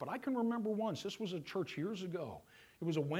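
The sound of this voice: This is an unforced reading voice. The passage is read aloud.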